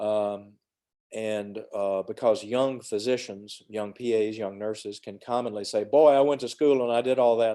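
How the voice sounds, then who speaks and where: In a Southern US accent, a man of medium pitch speaks at a moderate pace with a dark, mellow tone and fairly even intonation. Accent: Southern US (Georgia). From US South, Georgia (west of Atlanta). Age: 60s. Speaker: emergency physician. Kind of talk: mentoring talk to students on video call. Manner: casual, conversational with fillers.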